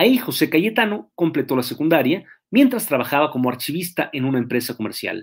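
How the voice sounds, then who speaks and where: Recorded very cleanly against a silent background, a man talks at a fairly quick pace with very wide pitch swings. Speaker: history lecturer. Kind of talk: history lecture. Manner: fast; halting.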